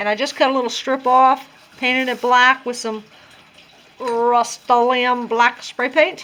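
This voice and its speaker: Speaking at a fairly slow pace, a woman uses a high pitch, a bright, sharp tone and monotone, flat intonation. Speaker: craft tutorial vlogger. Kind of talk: tutorial. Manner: casual, conversational.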